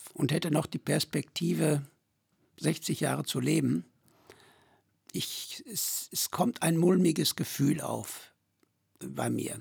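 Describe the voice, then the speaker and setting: A man speaking at a very slow pace with long, frequent pauses, in a dry, close sound with no echo. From Sauerland, Germany. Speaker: pilgrim guide, villager. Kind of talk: casual interview.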